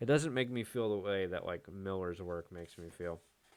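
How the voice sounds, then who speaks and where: Over a silent background in a very clean recording, a man talks at a moderate pace in a very deep, low pitch with ordinary pitch variation. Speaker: comic art hobbyist youtuber. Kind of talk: casual book flip-through commentary. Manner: casual with many fillers.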